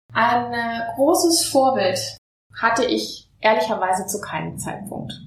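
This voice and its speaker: A woman talks at a moderate pace with a fairly high pitch and lively intonation. Audible room echo surrounds her voice. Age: 40s. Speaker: pediatric surgeon. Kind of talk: interview. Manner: formal.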